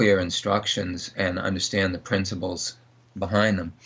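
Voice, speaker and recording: This man talks in a fairly low pitch with a monotone, flat intonation. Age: 60s. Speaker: dog trainer. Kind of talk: interview.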